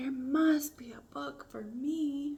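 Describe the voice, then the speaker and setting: In a put-on character voice, this female-sounding voice sits at a high pitch for a woman. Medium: read story.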